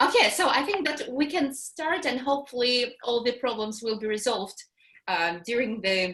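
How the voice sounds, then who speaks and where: This woman speaks with a Russian accent at a high pitch. Her pace is moderate and her intonation lively. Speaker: English teacher. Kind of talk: online workshop introduction. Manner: halting.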